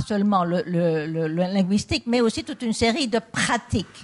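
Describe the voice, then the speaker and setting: A somewhat breathy woman with a medium pitch speaks at a moderate pace, with ordinary pitch variation. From Belgium. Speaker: political philosopher. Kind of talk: public debate. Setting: stage with audience. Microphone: handheld mic held close.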